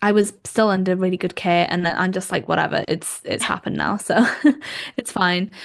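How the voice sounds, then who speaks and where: A woman with a Welsh accent talks at a fairly quick pace, her medium-pitched voice flat and monotone. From Wales. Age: 20s. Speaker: podcast host and journalist. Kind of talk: casual chat. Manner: halting, many fillers.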